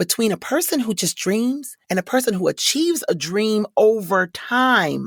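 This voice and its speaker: A fairly high-pitched woman's voice with vocal fry at a moderate pace, dry and close with no echo, on a very clean recording with a silent background. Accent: American. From Detroit, Michigan. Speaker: voice actor and corporate trainer. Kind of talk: interview answer.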